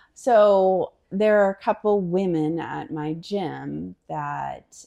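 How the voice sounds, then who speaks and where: A woman speaks with an American accent. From western Pennsylvania, near Pittsburgh. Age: 40s. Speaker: corporate employee and single mother. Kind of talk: casual interview.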